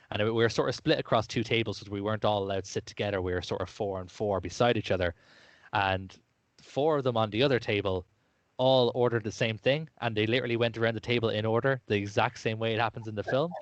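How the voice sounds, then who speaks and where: A man talks very fast with an Irish accent. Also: medium pitch for a man, ordinary pitch variation. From Ireland. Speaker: podcast host. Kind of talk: casual chat.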